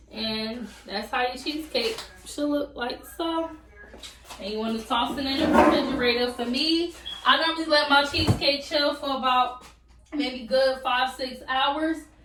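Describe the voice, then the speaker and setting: Amid noticeable background noise and audible room echo, a woman speaks at a high pitch and a moderate pace with fairly even intonation. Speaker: YouTuber. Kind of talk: cooking tutorial. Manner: casual, chatty.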